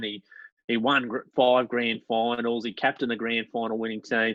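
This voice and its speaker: He talks with a Queensland accent at a medium pitch. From Queensland, Australia. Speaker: sports podcast co-host. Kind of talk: casual chat. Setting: video call.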